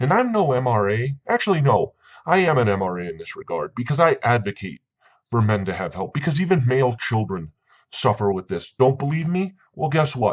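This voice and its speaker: A man speaks at a fairly quick pace, somewhat breathy. His pitch swings very widely. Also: medium pitch for a man. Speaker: vlogger on men's issues. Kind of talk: commentary vlog reading sources. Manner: stuttering when heated.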